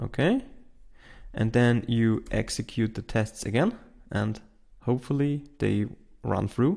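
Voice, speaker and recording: Speaking with a non-native accent, a man goes at a fairly slow pace with long, frequent pauses. The recording is very clean, with a silent background. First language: not English. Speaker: tech tutorial host. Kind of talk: tutorial. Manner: halting, with fillers.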